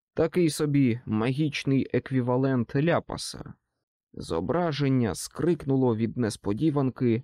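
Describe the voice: The delivery is plain reading aloud with ordinary pitch variation. The background is quiet.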